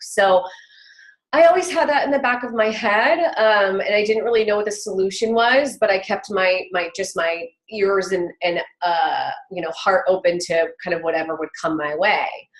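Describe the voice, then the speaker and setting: A woman talks at a moderate pace with lively intonation and a medium pitch. It is an ordinary speaking voice. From Southern California. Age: 30s. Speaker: entrepreneur mother. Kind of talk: interview.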